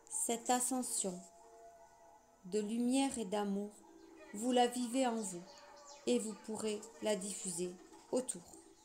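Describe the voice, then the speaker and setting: Music plays in the background as a woman speaks very slowly in a fairly high voice. Her intonation stays fairly even, and long pauses come often. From southwest France. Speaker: spiritual channeler. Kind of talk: channeled spiritual message reading.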